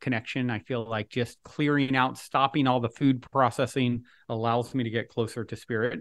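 An ordinary speaking voice belongs to a man at a medium pitch, with fairly even intonation against a quiet background. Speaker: author and podcast host. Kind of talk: interview conversation.

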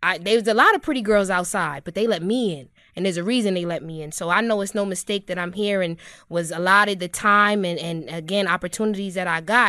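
A woman talks very fast with a New York accent, her medium-pitched voice bright and sharp with ordinary pitch variation. Her loudness swings widely, and the background is quiet. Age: 20s. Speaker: culture critic and digital marketer. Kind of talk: casual chat. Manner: animated.

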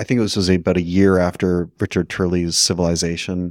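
Speaking at a moderate pace in a flat monotone, a man with a Canadian accent and a very deep, low pitch is captured on a very clean, dry, close recording with a silent background and no echo. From Canada, Vancouver. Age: 40s. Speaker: magazine founder and editor. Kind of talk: interview. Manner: halting.

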